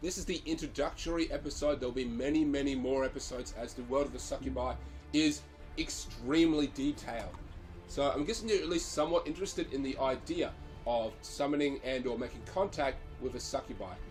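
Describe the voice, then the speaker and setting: A man talks at a fairly quick pace, and music can be heard in the background. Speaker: occult hobbyist. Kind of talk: casual talk to camera. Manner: hesitant, many fillers.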